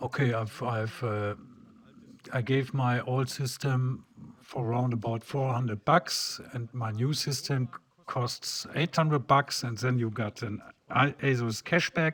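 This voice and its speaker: At a fairly slow pace, a man talks in a medium pitch with fairly even intonation. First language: German. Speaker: PC hardware tutorial creator. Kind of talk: tutorial. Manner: halting.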